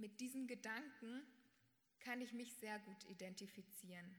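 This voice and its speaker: A woman's fairly high, somewhat breathy voice, fairly slow in pace, with fairly even intonation. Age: young. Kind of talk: prepared statement.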